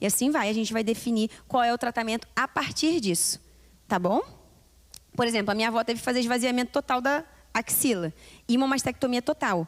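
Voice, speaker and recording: A woman's high-pitched voice at a fairly quick pace with lively intonation, dry and close with no echo. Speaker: doctor giving health talk. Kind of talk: health lecture at women's church meeting. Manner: interactive, asks audience questions.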